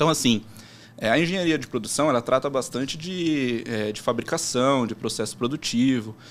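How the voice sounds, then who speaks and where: The speaker has an ordinary speaking voice with ordinary pitch variation. The pace is moderate. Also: man, medium pitch for a man. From São Paulo interior, Americana. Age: 20s. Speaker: sports betting trader. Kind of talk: casual interview.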